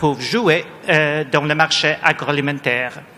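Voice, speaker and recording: A man speaks in a fairly high pitch. Background noise is noticeable. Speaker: panel chair, research director. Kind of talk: panel moderation. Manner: halting, many repetitions.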